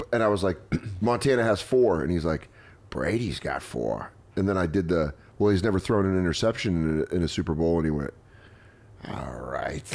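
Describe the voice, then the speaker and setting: A man with a very deep, low pitch speaks at a fairly quick pace. His intonation is lively, broken by long, frequent pauses. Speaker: comedian and podcast host. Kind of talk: casual chat. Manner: animated.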